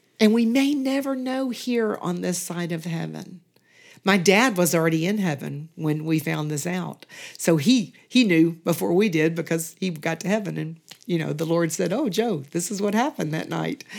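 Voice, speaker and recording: A woman with a Southern US accent speaks at a moderate pace in a fairly low voice, her intonation lively. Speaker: church member, retired teacher. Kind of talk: casual interview.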